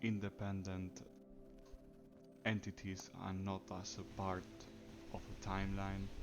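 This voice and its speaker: Over music in the background, a man with a very deep, low pitch talks at a very slow pace with lively intonation. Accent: non-native. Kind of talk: personal reflective monologue.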